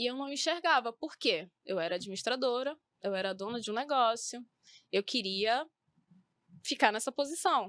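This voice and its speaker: A woman's high-pitched voice with lively intonation at a moderate pace, broken by long, frequent pauses, in a dry, close sound with no echo on a very clean recording with a silent background. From northern Brazil, Belém (Pará). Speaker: beauty professional, eyebrow micropigmentation. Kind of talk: podcast talk show interview.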